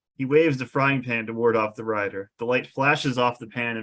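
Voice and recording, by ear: Here someone reads aloud in a natural voice.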